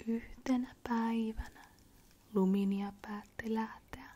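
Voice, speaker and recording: A soft-spoken woman whispering at a very slow pace. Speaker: ASMR creator. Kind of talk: bedtime story reading. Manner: soft-spoken, whispery, slow, calming.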